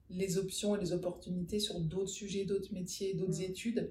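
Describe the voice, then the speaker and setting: There is audible room echo around a woman whose somewhat breathy voice has a dark, mellow tone. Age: 40s. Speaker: podcast creator, school orientation expert. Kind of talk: interview, casual chat.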